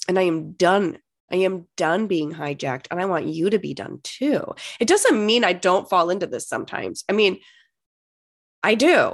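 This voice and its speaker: Over a quiet background, a woman talks in an animated tone at a moderate pace. Her intonation is lively, with vocal fry. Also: medium pitch for a woman. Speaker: life coach and podcast host. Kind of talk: motivational monologue.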